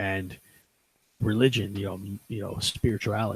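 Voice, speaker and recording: A man speaks at a fairly low pitch with monotone, flat intonation. His voice is somewhat breathy. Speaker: podcast host. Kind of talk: casual chat. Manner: fast.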